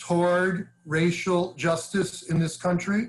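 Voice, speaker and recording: Speaking with an American accent, a man keeps a monotone, flat intonation. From New York, Brooklyn and Long Island. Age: 60s. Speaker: advocacy organization leader. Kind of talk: interview conversation.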